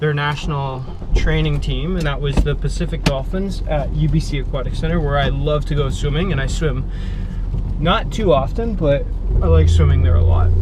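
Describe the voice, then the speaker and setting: A man talks at a moderate pace. Noticeable background noise and audible room echo fill the recording. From Canada, Vancouver area. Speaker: vlogger and actor. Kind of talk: casual vlog.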